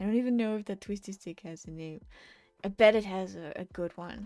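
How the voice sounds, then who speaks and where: A woman talks at a fairly quick pace. She has a Dutch accent. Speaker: digital artist streamer. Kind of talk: casual live stream chat while drawing. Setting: live art stream. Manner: halting.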